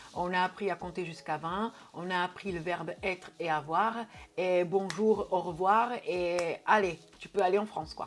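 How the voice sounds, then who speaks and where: A woman with a Portuguese accent, medium pitch, ordinary pitch variation and a moderate pace. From Portugal. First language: Portuguese (speaking French). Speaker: YouTuber. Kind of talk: casual Q&A video. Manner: hesitant, many filler words.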